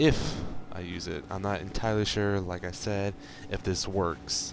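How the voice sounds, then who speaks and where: A quiet man's very deep, low voice with ordinary pitch variation and audible room echo. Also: moderate pace. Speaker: gaming video creator. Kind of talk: gameplay commentary. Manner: quiet, held back; casual, rambling.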